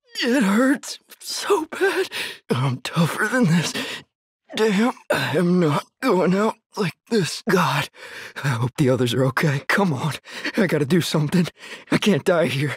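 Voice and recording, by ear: A man's put-on character voice, high-pitched with big pitch swings, husky and rough-edged, at a fairly slow pace, in a dry, close sound with no echo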